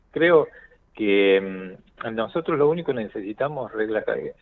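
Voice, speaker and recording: A man's ordinary speaking voice at a medium pitch, with lively intonation. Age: 50s. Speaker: cardiologist. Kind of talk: radio interview.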